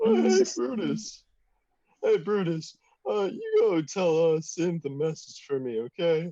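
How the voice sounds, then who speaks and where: A man performs a put-on character voice, pitched high. He speaks at a fairly slow pace. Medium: actual play. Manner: chirpy, casual.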